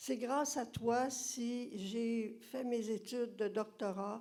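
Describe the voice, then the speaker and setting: A woman with a Quebec accent speaks at a very slow pace. Her voice is fairly high, with a dark, mellow tone and fairly even intonation. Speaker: former student. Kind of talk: audience tribute.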